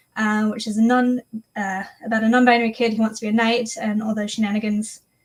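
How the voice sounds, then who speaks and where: Her voice is fairly high and somewhat breathy as a woman speaks with an American accent. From England. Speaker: author and mentor. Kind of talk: live stream panel chat.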